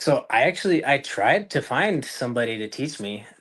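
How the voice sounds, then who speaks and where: Against a quiet background, a man with an American accent talks at a medium pitch. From US, northern Utah. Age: 20s. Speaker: real estate investor. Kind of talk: podcast interview. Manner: halting with many fillers.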